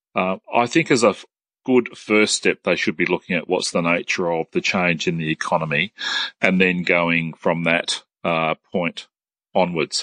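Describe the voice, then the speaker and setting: A man's very deep, low voice with an Australian accent, bright and sharp in tone, fairly even in intonation, with a dry, close sound with no echo against a quiet background. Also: moderate pace. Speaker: TAFE sector head. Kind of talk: interview. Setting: phone call.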